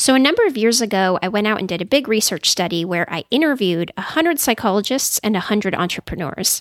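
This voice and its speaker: A woman with a Californian accent, fairly high in pitch and fairly quick in pace, in dry, close sound with no echo. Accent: Californian American English. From California, Silicon Valley. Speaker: psychologist. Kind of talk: interview.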